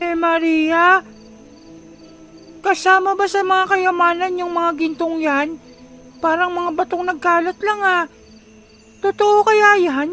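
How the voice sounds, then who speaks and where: A put-on character voice speaks at a very slow pace, with faint music in the background. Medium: audio drama. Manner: casual, grumbling.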